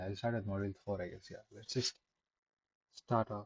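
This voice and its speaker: A man speaks at a fairly low pitch with fairly even intonation and a somewhat breathy voice. The sound is dry and close, with no echo. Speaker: streamer doing a study livestream. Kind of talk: casual live-stream chat. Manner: halting.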